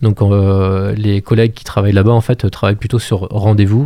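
Flat and monotone, a man speaks at a fairly low pitch with a dark, mellow tone. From France, Maine-et-Loire (Montreuil-Bellay area). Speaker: musician and cultural programme manager. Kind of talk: radio interview. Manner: halting.

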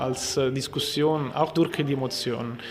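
Noticeable background noise sits under a man with an Italian accent. His voice is fairly high, his intonation fairly even, and his pace fairly slow. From Ticino, Switzerland. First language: Italian (speaking German). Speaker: film festival artistic director. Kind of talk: interview. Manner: halting.

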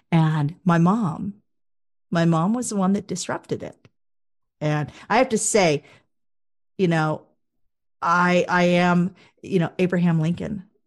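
With an American accent, a woman speaks at a fairly slow pace with a fairly low pitch, ordinary pitch variation, and long, frequent pauses over a quiet background. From US Midwest, Wichita, Kansas. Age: 50s. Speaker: speaker and media producer. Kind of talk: interview.

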